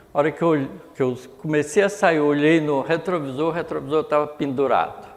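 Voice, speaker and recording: A man speaks, and room echo is audible around him. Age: 80s+. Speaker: spiritist lecturer. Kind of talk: religious lecture. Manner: conversational, storytelling.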